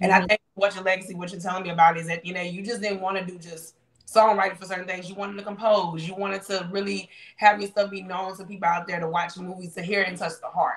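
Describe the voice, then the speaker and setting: Speech comes at a very fast pace in a Southern US accent, with an animated tone. The loudness swings widely. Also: woman, medium pitch for a woman. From Louisiana. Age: 30s. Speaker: online show host. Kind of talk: interview. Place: home room. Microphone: video call.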